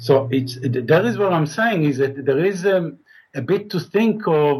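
This man has a fairly high pitch and a somewhat breathy voice, talking at a fairly slow pace with lively intonation. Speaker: caller. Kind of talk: call-in debate.

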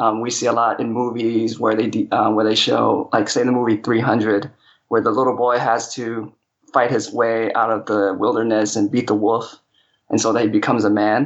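A man with an American accent, moderate pace, very even loudness and monotone, flat intonation. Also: medium pitch for a man. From Hong Kong and California. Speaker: caller. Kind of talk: casual chat. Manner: halting, many um fillers.

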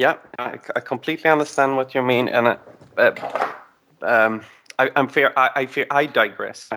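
A man speaks at a moderate pace with long, frequent pauses. His tone is bright and sharp, and his intonation fairly even. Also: medium pitch for a man. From Sweden. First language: Swedish. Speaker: caller. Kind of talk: call-in discussion. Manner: halting.

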